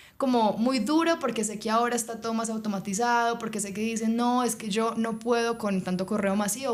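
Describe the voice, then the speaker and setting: A woman speaks at a fairly quick pace in a Colombian accent. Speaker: HR and people specialist. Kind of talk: interview conversation.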